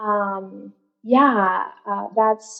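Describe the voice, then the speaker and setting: A woman speaks in a Spanish accent at a medium pitch. Her intonation stays fairly even. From Venezuela, San Francisco near Colombian border. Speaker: mental health counselor. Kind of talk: podcast interview. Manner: conversational, many fillers and repetitions.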